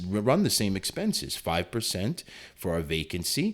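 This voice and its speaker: Talking at a fairly quick pace, a man with an unremarkable speaking voice and fairly low pitch is heard on a very clean recording with a silent background. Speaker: real estate agent. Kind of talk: tutorial.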